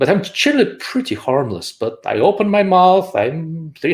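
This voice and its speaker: Somewhat breathy, a man with a strong Russian accent swings his pitch very widely. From Russia, Moscow. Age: 40s. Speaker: optics engineer and channel host. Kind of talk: live show interview.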